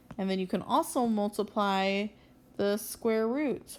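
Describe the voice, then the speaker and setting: A woman speaks at a fairly slow pace in an ordinary speaking voice, her pitch varying in an ordinary way. The recording is very clean, with a silent background. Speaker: math teacher. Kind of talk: tutorial. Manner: casual, conversational.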